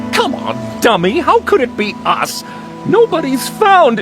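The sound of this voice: A cartoonish character voice from a man, extremely high in pitch with very wide pitch swings, at a fairly slow pace over clear music in the background.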